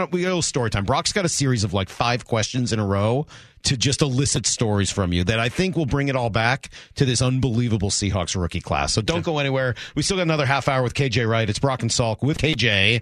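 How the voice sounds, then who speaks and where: A man with a medium pitch talks at a very fast pace with lively intonation and very even loudness against a quiet background. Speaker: sports radio host. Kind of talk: sports radio discussion. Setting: studio.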